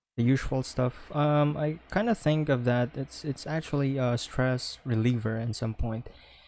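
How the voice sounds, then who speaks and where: A man's voice with a Filipino accent and ordinary pitch variation. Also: medium pitch for a man, moderate pace, hardly any pauses. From Philippines. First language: Philippine language (not English). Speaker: podcast co-host and streamer. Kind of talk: casual chat. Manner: halting, many fillers.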